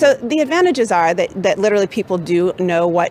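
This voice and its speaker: Over noticeable background noise, a woman with an American accent speaks at a fairly quick pace, her medium pitch carried by lively intonation. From USA. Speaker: marketing manager. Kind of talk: interview answers. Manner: hesitant, filler words.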